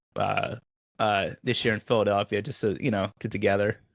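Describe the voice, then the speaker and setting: Speaking in a normal speaking voice with an American accent, a man talks at a fairly quick pace with fairly low pitch and fairly even intonation. The recording is very clean, with a silent background and a dry, close sound with no echo. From Oklahoma. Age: 40s. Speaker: podcast host, military veteran. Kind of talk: casual interview chat.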